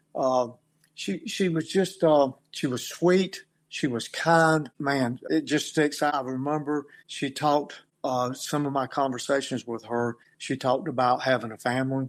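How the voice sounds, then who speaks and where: A man's fairly high, fairly slow delivery in a North Carolina accent with ordinary pitch variation, on a very clean recording with a silent background. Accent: US Southern, North Carolina. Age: 60s. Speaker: victim's brother. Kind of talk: interview testimony. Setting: podcast interview. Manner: halting.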